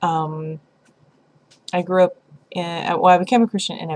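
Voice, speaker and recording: A woman speaks in an American accent with a somewhat breathy voice. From US South, Tennessee (Lynchburg). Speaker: vlogger. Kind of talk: casual vlog monologue. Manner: halting, many fillers.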